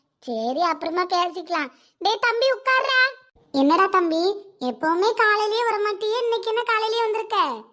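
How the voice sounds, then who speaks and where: A woman's cartoonish character voice at an extremely high pitch, with lively intonation and a fairly slow pace. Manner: warm, chatty.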